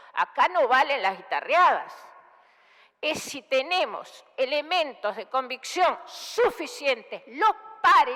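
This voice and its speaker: In a raised, projected voice, a woman speaks at a very slow pace with a high pitch, very wide pitch swings and big swings in loudness. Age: 60s. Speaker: senator. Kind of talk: parliamentary speech. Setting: senate chamber. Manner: formal.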